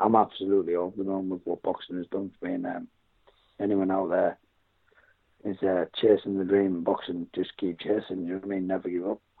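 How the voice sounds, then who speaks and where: In a North East England accent, a man with a very deep, low voice talks at a fairly quick pace in a monotone, flat intonation. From northern England, Darlington. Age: 40s. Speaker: retired boxer. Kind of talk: interview.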